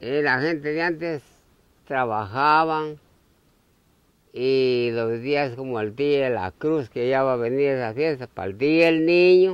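A man's medium-pitched voice at a very slow pace, with ordinary pitch variation and a dry sound with no echo. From Honduras. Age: old. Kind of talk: interview answer. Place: open country.

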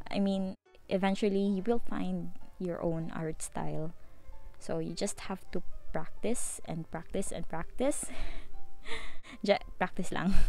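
Over background music, the speech moves at a fairly slow pace with long, frequent pauses, and the sound is dry with no echo. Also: woman. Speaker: hobby painter vlogger. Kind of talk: casual vlog voice-over.

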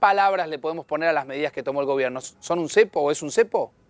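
A man talks at a fairly quick pace with ordinary pitch variation, in a dry sound with no echo. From Argentina. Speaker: TV news host. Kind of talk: TV interview. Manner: hesitant, many fillers. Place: studio. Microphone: lapel.

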